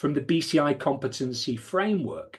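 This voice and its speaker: The background is quiet. A man speaks with a British accent. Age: 60s. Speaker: podcast co-host, former police firearms officer. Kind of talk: conversational podcast discussion.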